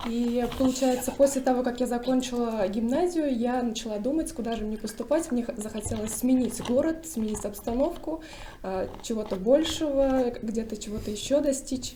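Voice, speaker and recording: Speaking at a moderate pace, a woman has a high pitch and ordinary pitch variation. Noticeable background noise and audible room echo are present. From Bashkortostan, Russia (Miyaki district). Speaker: roundtable participant. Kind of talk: roundtable discussion.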